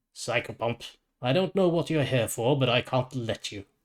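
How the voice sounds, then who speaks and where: Using a put-on character voice, a man speaks at a moderate pace and a medium pitch with ordinary pitch variation, on a very clean recording with a silent background. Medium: read story. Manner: blunt.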